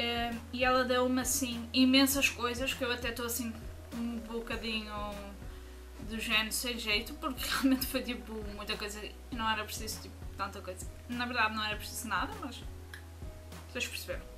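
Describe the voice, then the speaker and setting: Clear music plays in the background. A woman speaks over it at a fairly quick pace. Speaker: vlogger. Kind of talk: casual vlog chat. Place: home room. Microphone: webcam.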